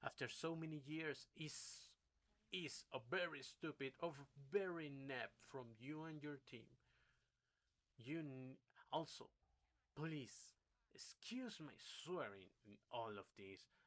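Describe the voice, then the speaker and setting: With a non-native accent, a man speaks at a very slow pace in a fairly high pitch, his intonation lively and broken by long, frequent pauses. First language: not English. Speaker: gaming YouTuber. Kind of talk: rant. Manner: animated.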